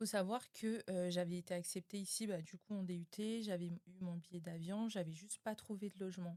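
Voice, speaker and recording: A woman talks with hardly any pauses in a dark, mellow tone and fairly even intonation. The sound is dry and close, with no echo. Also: medium pitch for a woman, moderate pace. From New Caledonia. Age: 20s. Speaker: podcast guest. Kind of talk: casual interview.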